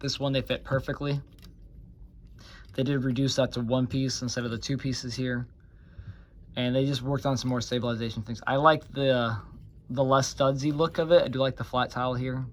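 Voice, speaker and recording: Speaking at a fairly quick pace, a man with a medium pitch keeps a monotone, flat intonation and leaves long, frequent pauses. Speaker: toy reviewer. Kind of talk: product review. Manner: casual.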